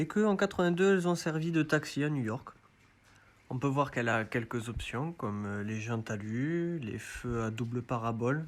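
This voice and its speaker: A man speaks at a moderate pace with a medium pitch and lively intonation. He has an ordinary speaking voice. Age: 30s. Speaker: car enthusiast. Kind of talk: self-recorded video presentation.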